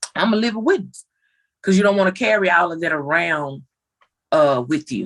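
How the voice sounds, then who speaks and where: A woman talks at a moderate pace with a fairly low pitch and lively intonation. She has a normal speaking voice. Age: 30s. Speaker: family member guest. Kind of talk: casual chat.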